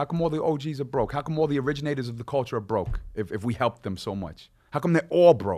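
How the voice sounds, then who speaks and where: Against a quiet background, a man with a Long Island accent speaks at a very fast pace with hardly any pauses, his fairly high voice carrying vocal fry, a dark, mellow tone and lively intonation. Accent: New York (Long Island). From Long Island, New York. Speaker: rapper. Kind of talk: casual chat. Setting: studio.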